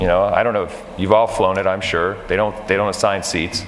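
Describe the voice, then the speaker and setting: Noticeable background noise and audible room echo surround speech delivered fairly quickly. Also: man. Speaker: steel company founder, conference speaker. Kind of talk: conference talk. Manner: fast; animated.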